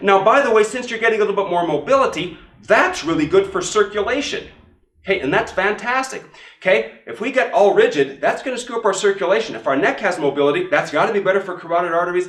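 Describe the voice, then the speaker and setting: A man with a high voice talks at a very fast pace, his intonation lively and his tone animated, over noticeable background noise. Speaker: chiropractor teaching other chiropractors. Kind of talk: instructional demonstration.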